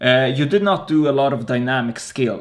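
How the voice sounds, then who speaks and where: A man with an ordinary speaking voice talks at a moderate pace with a fairly high pitch. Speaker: podcast host. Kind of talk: interview. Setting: video call.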